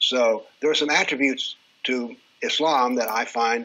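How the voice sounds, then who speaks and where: Bright and sharp in tone, a man speaks with an American accent. His pitch is medium. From rural US. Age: 70s. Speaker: retired professor and author on political Islam. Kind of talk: interview.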